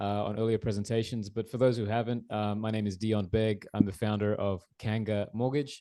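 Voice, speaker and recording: Against a quiet background, a man with an Australian accent speaks at a fairly quick pace and a medium pitch, his intonation fairly even and his tone dark and mellow. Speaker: mortgage broker. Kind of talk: presentation.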